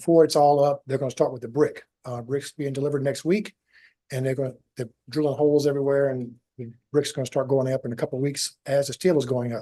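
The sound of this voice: A man talks fast with a dark, mellow tone. His voice sits at medium pitch with little pitch movement.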